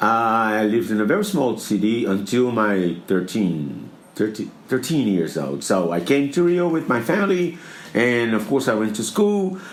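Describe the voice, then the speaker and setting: In a room with audible echo, a man at a medium pitch speaks at a moderate pace with very wide pitch swings and very even loudness. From Brazil, Minas Gerais. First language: Portuguese. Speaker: theater producer. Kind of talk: interview. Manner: halting.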